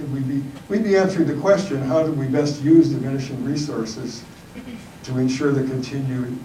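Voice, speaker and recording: A man speaks with ordinary pitch variation in a room with audible echo and noticeable background noise. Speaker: panelist at a church forum. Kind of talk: panel talk. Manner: mumbling.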